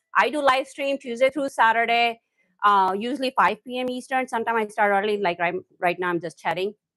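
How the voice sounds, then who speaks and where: Against a quiet background, a woman speaks fairly quickly with a fairly high pitch, an animated tone and ordinary pitch variation, in a dry, close sound with no echo. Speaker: cooking livestreamer. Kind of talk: live stream chat while cooking. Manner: animated, lively.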